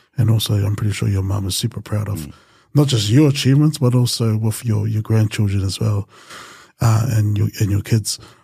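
Speaking at a fairly quick pace with a New Zealand accent, a man has a fairly low pitch, a dark, mellow tone, a somewhat breathy sound and ordinary pitch variation over a quiet background. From New Zealand, Pacific Islander community. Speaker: podcast host. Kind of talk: podcast interview. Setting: studio with camera. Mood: warm, calm. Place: studio. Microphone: studio mic.

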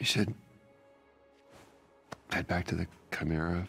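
A man puts on a character voice, low-pitched with vocal fry and a husky, rough edge, speaking at a fairly slow pace over faint music in the background. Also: fairly even intonation, fairly bright tone.

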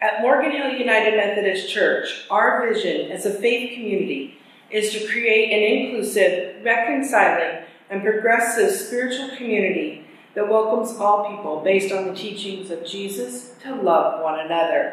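Strong room echo surrounds a woman whose pitch varies in an ordinary way. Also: moderate pace. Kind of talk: formal worship welcome. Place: church. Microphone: camera far.

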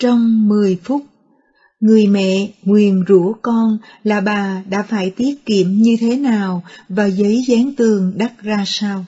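A somewhat breathy woman at a medium pitch, with fairly even intonation and a very slow pace. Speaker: prayer segment narrator. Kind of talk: scripted narration.

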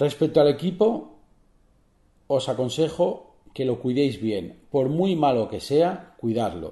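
Against a quiet background, a man with a fairly high pitch, vocal fry and a dark, mellow tone speaks fairly slowly with very wide pitch swings. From Spain, Barcelona; Catalonia, Spain. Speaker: photographer and photography podcaster. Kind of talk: solo podcast tutorial. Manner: hesitant, many fillers and repetitions. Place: home room.

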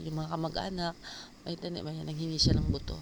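Her intonation stays fairly even. This woman's pitch is very deep and low. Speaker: gardening vlogger. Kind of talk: vlog narration. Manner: casual, halting with fillers.

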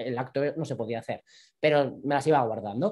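A man talks with lively intonation, and the background stays quiet. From Navarre, Spain (Pamplona). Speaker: performance artist. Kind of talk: interview, personal storytelling. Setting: live stream, online video call. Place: home room. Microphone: video call.

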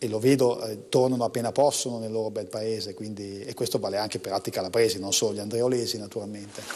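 This man talks with a northern Italian accent in a dark, mellow tone. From northern Italy, Como; northern Italy. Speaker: economics professor and poet; poet, interview guest. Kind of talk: TV interview. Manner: halting, many fillers and repetitions. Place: studio. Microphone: lapel.

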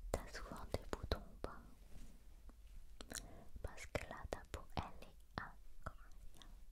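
Very slowly, a soft-spoken woman is whispering. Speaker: ASMR creator. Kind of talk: soft-spoken roleplay. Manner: soft intimate ASMR whisper. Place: home room. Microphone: studio mic.

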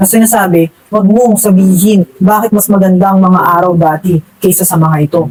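Noticeable background noise under a fairly quick pace. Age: 20s. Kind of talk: religious vlog monologue.

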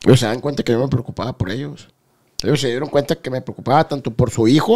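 Against a quiet background, a man is talking. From Guadalajara, Mexico. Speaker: former cartel member; podcast host or guest. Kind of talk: interview. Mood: calm, serious recounting. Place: studio. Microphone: studio mic.

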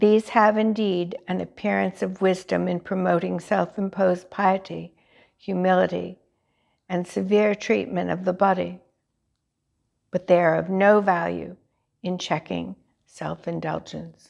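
Against a quiet background, a woman speaks in a solemn tone at a fairly slow pace, with long, frequent pauses. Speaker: lay reader leading prayer. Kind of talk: morning prayer service, liturgical reading and fervent prayer. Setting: church chapel, recorded service. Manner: formal, reverent, solemn; fervent, earnest, devotional. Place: church.

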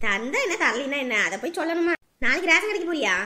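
A woman uses a cartoonish character voice with an extremely high pitch, very wide pitch swings and a moderate pace. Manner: blunt, easygoing.

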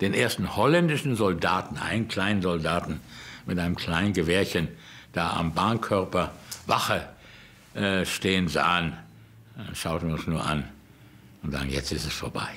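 A man's very deep, low voice in a bright, sharp tone at a moderate pace, with ordinary pitch variation and long, frequent pauses. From Germany. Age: 80s+. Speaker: rabbi. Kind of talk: documentary interview answer. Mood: reflective, grave. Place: home room.

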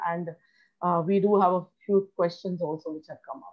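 A woman talks at a moderate pace in a fairly low pitch, her intonation flat and monotone. The background is quiet. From India. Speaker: nutrition center founder and show host; show host. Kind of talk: health education interview. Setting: video call. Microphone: video call.

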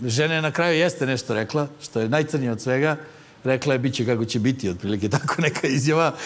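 A man talks at a very fast pace. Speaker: comedy show host. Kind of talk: comedic monologue commentary. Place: studio. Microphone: lapel.

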